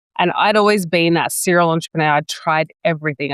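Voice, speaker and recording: A woman speaks with an Australian accent and ordinary pitch variation. The recording is very clean, with a silent background and a dry, close sound with no echo. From New South Wales, Australia. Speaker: business coach and entrepreneur. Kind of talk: interview, telling own story.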